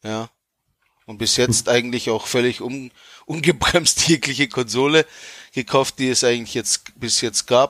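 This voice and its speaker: Speech at a fairly slow pace comes with long, frequent pauses and big swings in loudness, the sound dry and close with no echo. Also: man, medium pitch for a man. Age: 40s. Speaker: podcast co-host. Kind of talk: casual chat. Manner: halting.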